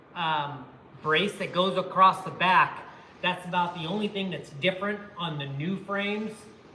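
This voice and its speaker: At a moderate pace, a high-pitched man speaks with fairly even intonation, with audible room echo and noticeable background noise. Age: 60s. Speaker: former pro BMX rider and channel host. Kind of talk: livestream chat. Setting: garage workshop.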